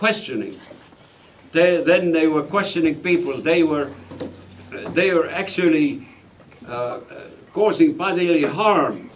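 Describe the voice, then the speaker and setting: Against noticeable background noise and audible room echo, a man with a high pitch talks at a fairly slow pace with ordinary pitch variation. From Estonia. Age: 80s+. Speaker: refugee and war veteran. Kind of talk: testimony. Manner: halting.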